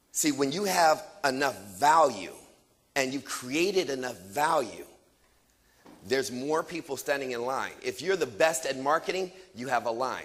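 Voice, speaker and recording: A man's fairly high, animated voice with lively intonation. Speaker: motivational speaker. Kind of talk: motivational speech. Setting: stage with audience. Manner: fast.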